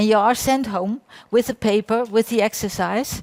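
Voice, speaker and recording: In a Dutch accent, a woman speaks at a moderate pace with a fairly high pitch. Her intonation is fairly even, and the sound is dry and close with no echo. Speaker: applied science researcher. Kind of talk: conference talk. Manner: halting.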